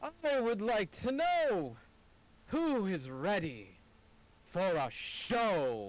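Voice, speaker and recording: In a put-on character voice, the speaker moves at a very slow pace with long, frequent pauses, swinging very widely in pitch while the loudness stays very even. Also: man, high pitch for a man. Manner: grandiose, showy.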